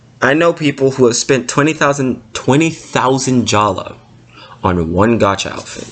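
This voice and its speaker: Noticeable background noise surrounds a man speaking at a moderate pace. His pitch is medium for a man and his intonation is lively. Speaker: gaming YouTuber. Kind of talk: rant. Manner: loud.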